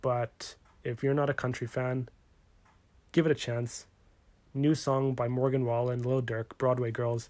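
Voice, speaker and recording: The delivery is monotone and flat at a fairly slow pace, broken by long, frequent pauses. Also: man. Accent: Western Canadian. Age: 20s. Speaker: podcast host. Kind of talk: casual sports podcast talk.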